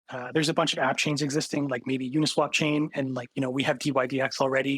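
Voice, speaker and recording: Fairly high in pitch, a man speaks in a plain, everyday voice at a fairly quick pace. His intonation stays fairly even, and the sound is dry and close with no echo. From Canada. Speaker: tech startup co-founder. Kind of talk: podcast interview.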